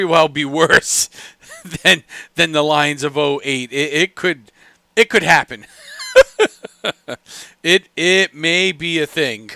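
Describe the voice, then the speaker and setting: Very slowly and with long, frequent pauses, a man speaks at a fairly high pitch with ordinary pitch variation, the sound dry and close with no echo. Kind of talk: live sports play-by-play commentary and reaction stream. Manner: casual, conversational, reactive.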